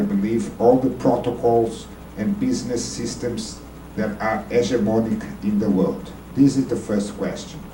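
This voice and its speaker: Speech moves at a fairly slow pace. Noticeable background noise and audible room echo are present. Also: man. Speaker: audience member asking a question. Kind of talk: Q&A question at a debate.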